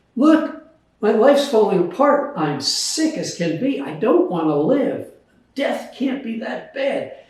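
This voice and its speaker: At a fairly slow pace, a man speaks with an extremely high pitch and very wide pitch swings. Audible room echo surrounds his voice. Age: 80s+. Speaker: author and retired scientist. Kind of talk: casual interview, personal story. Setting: at home.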